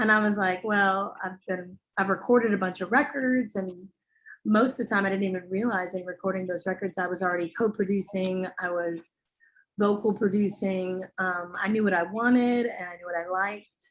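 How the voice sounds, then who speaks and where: In a very clean recording with a silent background, a woman with a plain, everyday voice speaks at medium pitch and a moderate pace, with fairly even intonation. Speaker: vocal engineer and singer. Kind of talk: casual interview.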